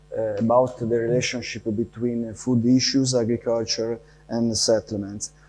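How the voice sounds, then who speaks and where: Over noticeable background noise, a man with a medium pitch speaks at a moderate pace in a monotone, flat intonation. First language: not English, Italian or Spanish. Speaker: university urban planner, conference speaker. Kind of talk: conference talk. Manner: halting, many fillers.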